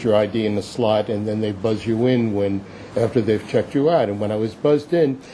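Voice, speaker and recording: Noticeable background noise accompanies a man who speaks very fast at a medium pitch, his pitch varying in an ordinary way. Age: 70s. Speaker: public commenter at city hearing. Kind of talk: public testimony. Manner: halting.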